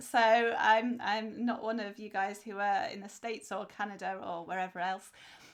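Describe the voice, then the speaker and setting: A woman with a British accent speaks at medium pitch and a moderate pace, with hardly any pauses. Her loudness swings widely against a quiet background. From England. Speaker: podcast co-host, author. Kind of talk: casual chat.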